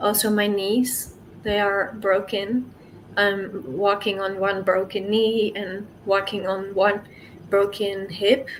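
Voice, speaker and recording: Room echo is audible as a woman speaks at a very slow pace. Her pitch is medium and her intonation fairly even. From Netherlands. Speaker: sickle cell patient. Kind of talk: interview. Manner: halting.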